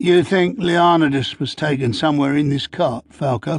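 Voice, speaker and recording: Put-on character voice from a man, raspy and fairly high-pitched, at a moderate pace. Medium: read story. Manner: reluctant, evasive.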